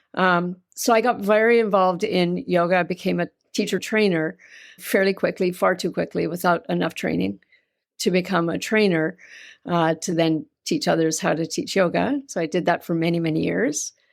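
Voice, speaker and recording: A woman's fairly low voice at a moderate pace, with ordinary pitch variation and a slight Canadian accent, on a very clean recording with a silent background. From Canada. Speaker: yoga teacher and yoga therapist. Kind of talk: interview conversation.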